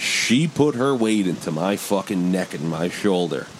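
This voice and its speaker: Here is a man with an ordinary speaking voice and a fairly low pitch. He talks at a fairly slow pace. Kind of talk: casual banter, crude and joking. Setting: studio. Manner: relaxed, rambling, jokey.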